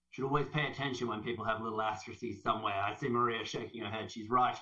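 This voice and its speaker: A man speaks with an Australian accent. His bright, sharp voice has an animated tone. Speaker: health service sustainability leader. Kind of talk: conference presentation.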